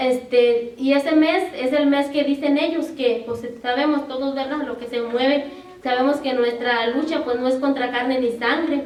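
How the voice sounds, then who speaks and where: Against noticeable background noise and audible room echo, a woman with a high pitch speaks at a fairly slow pace with fairly even intonation. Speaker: preacher. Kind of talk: sermon.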